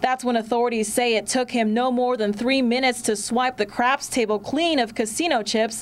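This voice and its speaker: With an American accent, a woman speaks in a high pitch. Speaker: TV news reporter. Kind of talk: live field news report to camera.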